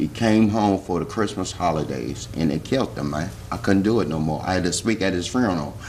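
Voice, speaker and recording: Over noticeable background noise, a man with an American accent speaks at a very deep, low pitch and a fairly quick pace. His intonation is lively, and he leaves hardly any pauses. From Washington DC area. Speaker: former youth corrections worker, electrical worker. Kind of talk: casual interview.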